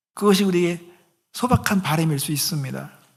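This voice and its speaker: Amid audible room echo, a man speaks with lively intonation. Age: 50s. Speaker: pastor. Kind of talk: sermon.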